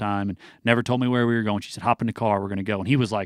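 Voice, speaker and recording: Recorded very cleanly against a silent background, a man with an American accent speaks in a flat monotone, the sound dry and close with no echo. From US Midwest, southern Illinois. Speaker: country singer. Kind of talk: radio interview. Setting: radio studio.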